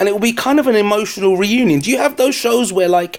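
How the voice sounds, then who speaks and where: A man with a London accent speaks with ordinary pitch variation. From London, England. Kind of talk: casual chat. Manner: joking, banter.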